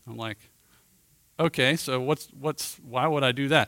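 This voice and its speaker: In a dry, close sound with no echo and a very clean recording with a silent background, a man speaks at a moderate pace with a bright, sharp tone and ordinary pitch variation. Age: 50s. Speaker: men's ministry teacher. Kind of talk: teaching talk.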